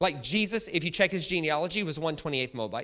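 A man projects a raised voice with a bright, sharp tone and very wide pitch swings, captured in a very clean recording with a silent background. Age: 40s. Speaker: visiting preacher. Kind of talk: sermon. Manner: animated, repeats words when starting sentences.

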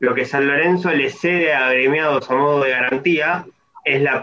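A man's ordinary speaking voice, fairly high in pitch, with ordinary pitch variation. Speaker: economist. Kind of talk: casual chat. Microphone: bad internet connection.

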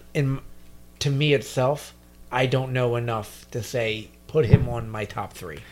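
A man with an American accent has an unremarkable speaking voice at a medium pitch with ordinary pitch variation. His loudness swings widely. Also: fairly slow pace. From New Jersey. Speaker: podcast co-host. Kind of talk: casual chat.

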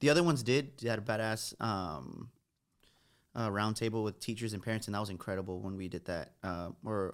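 A man with an American accent speaks at a fairly quick pace, his fairly low pitch showing ordinary variation. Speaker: TV news reporter. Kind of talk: casual chat.

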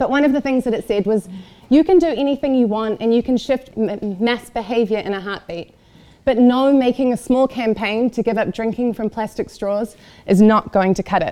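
In a New Zealand accent, a woman speaks at a moderate pace with a dark, mellow tone, a fairly high pitch and ordinary pitch variation. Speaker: event organizer. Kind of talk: talk to audience.

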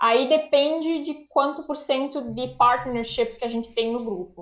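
Ordinary pitch variation and a moderate pace mark a woman's high voice. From Brazil. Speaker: anesthesiologist. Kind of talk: casual interview.

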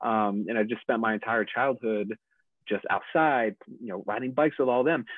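The speaker has a plain, everyday voice at a moderate pace. Pitch variation is ordinary. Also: man, medium pitch for a man. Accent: American. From upstate New York. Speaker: podcast guest, father. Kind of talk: casual interview. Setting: video call.

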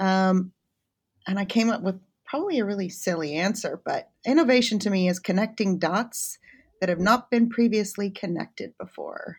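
In a very clean recording with a silent background, a woman with an American accent speaks at a moderate pace and medium pitch, somewhat breathy, with ordinary pitch variation. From United States. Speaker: chemistry academic. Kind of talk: interview.

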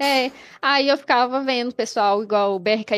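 With lively intonation, a plain, everyday voice speaks at a fairly slow pace on a very clean recording with a silent background. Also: woman. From Brazil, Minas Gerais (Betim, Belo Horizonte area). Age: 20s. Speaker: gamer. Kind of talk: casual interview. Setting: live stream.

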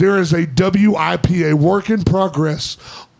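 An American-accented man speaks at a high pitch with lively intonation. Noticeable background noise runs underneath. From US South. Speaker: podcast host. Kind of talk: casual chat. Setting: studio. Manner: loud.

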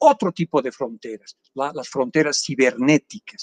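A man talks with a dry, close sound and no echo. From Bolivia, Villazón. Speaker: economist and professor. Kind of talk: interview.

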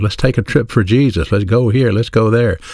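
This man speaks with an American accent at a moderate pace, his pitch medium and its variation ordinary. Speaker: radio preacher. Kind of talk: radio sermon. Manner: firm.

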